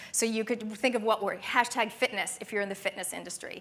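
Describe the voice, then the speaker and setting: In a Canadian accent, a woman speaks with an animated tone. Her pitch is fairly high. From Canada. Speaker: business speaker. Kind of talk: conference talk. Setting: stage with audience.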